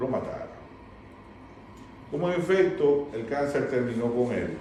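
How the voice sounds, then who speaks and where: Audible room echo surrounds a man speaking at a fairly slow pace with lively intonation. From Dominican Republic. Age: 60s. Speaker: recovering addict sharing life story. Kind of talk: testimony.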